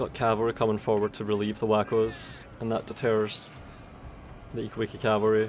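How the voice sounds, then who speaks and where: A man talks with a fairly low pitch and monotone, flat intonation. Music plays in the background. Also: moderate pace. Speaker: game tournament commentator. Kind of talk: live commentary.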